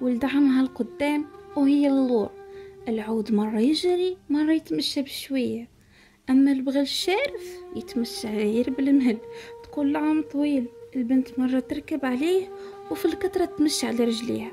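A woman's high-pitched voice with a Moroccan accent and a calm tone, lively intonation, a fairly slow pace and very even loudness, over music in the background. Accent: Moroccan Arabic (Darija). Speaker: storyteller. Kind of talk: folk tale narration for relaxation and sleep.

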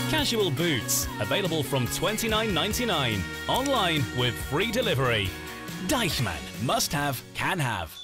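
Music plays in the background as a man with fairly high pitch speaks at a fairly slow pace, his pitch swinging very widely. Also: very even loudness. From Northern England. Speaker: voice actor. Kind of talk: TV commercial read.

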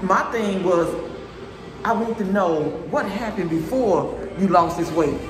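Clear music plays in the background as a man speaks in a high pitch. He goes at a fairly slow pace with ordinary pitch variation. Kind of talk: casual vlog chat. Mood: earnest, motivated. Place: gym. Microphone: phone near.

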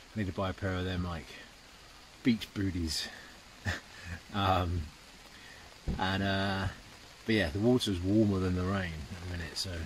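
A man's very deep, low voice with fairly even intonation and long, frequent pauses, dry with no echo, over light background noise. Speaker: travel vlogger. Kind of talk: casual vlog chat. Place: tent. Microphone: phone near.

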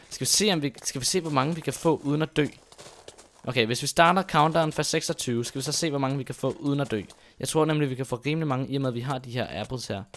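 Moving at a fairly quick pace, a man speaks in a fairly high pitch with ordinary pitch variation. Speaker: gaming YouTuber. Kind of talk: gameplay commentary. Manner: hesitant, many fillers.

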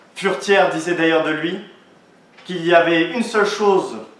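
The voice moves at a moderate pace with fairly even intonation, and room echo can be heard. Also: man. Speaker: law student orator. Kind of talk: oratory contest speech; audience Q&A. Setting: stage with audience. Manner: declamatory. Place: hall. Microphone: camera far.

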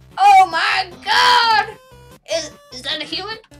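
Faint music plays in the background as a woman uses a put-on character voice at an extremely high pitch. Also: fairly slow pace.

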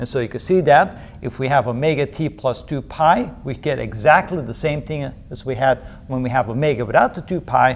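Talking at a fairly quick pace, a man uses a medium pitch and lively intonation.

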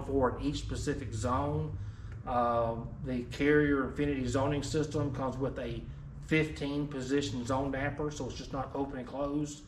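A man's voice with light background noise and audible room echo. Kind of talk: product explanation. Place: shop.

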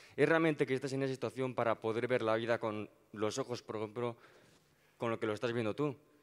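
A man with a medium pitch talks at a very fast pace with fairly even intonation. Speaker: student council member. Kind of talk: audience question. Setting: university auditorium. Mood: polite, thoughtful. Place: hall.

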